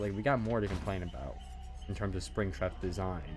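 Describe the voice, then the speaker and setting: A man's speech moves fairly quickly, with music audible behind it. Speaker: gaming streamer. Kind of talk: casual chat. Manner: animated; loud.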